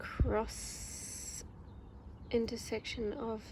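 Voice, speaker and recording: A woman speaks with a New Zealand accent. Her voice is soft-spoken. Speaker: ASMR creator. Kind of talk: ASMR casual talk.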